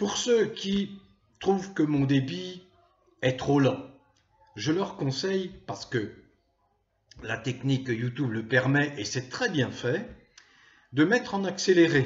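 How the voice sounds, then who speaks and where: At a very slow pace, a man speaks with fairly high pitch and very wide pitch swings. His voice is somewhat breathy, with long, frequent pauses. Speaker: political commentator, YouTuber. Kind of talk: monologue to camera. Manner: hesitant with frequent euh.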